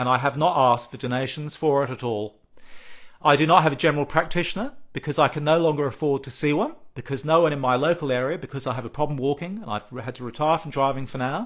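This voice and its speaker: The delivery is very fast, and the pitch varies in an ordinary way. A silent background makes for a very clean recording. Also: man. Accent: Australian. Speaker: patient advocacy group president. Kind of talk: live social media address. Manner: halting.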